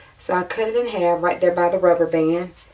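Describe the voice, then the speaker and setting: A woman's fairly low voice at a fairly quick pace, with fairly even intonation over noticeable background noise. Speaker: beauty vlogger. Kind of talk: tutorial. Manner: casual, chatty.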